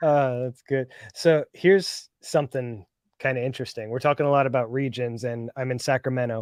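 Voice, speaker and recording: A man with a Northern California accent talks at a fairly quick pace, with a medium pitch and fairly even intonation. The sound is dry and close with no echo, over a quiet background. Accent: Northern California, Philly accent dropped. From Philadelphia, Pennsylvania. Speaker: live stream guest, reseller. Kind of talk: casual chat.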